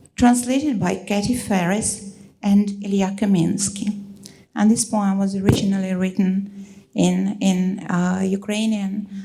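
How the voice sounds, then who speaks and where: A woman's somewhat breathy, dark and mellow voice, monotone and flat in intonation, at a fairly slow pace. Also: medium pitch for a woman. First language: Russian. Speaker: poet. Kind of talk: poetry reading.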